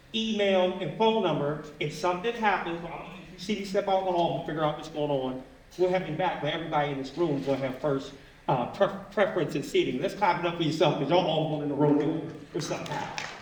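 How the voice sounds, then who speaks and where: Very fast speech from a man with a high pitch and ordinary pitch variation, plus noticeable background noise and audible room echo. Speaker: event host. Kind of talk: live event hosting. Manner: wears a mask while speaking.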